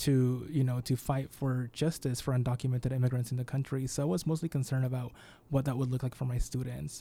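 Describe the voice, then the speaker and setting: A man with an American accent, very fast and somewhat breathy, with a dark, mellow tone and fairly even intonation. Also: medium pitch for a man. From Peru, then Utah from age eleven. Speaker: immigrant rights advocate. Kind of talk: panel discussion on radio.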